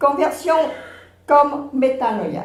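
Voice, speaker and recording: A woman with a non-native accent speaks at a very slow pace in a high voice with lively intonation. Noticeable background noise and audible room echo are present. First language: not French (speaking French). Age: 70s. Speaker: panel speaker on faith. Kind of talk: conference talk. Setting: round table with audience. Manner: measured.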